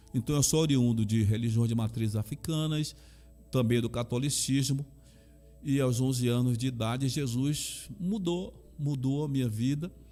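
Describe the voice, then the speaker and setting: A man with a Bahian accent speaks at a moderate pace, his loudness very even. His medium pitch shows ordinary variation, and his tone is dark and mellow. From Brazil, Salvador, Bahia. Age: 60s. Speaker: pastor and chaplain. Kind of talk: interview.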